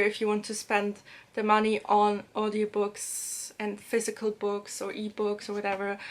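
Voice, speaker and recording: At a moderate pace, a woman talks in a German accent with a fairly high pitch. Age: 20s. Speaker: language-learning and book vlogger. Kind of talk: casual vlog tips. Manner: hesitant, many fillers.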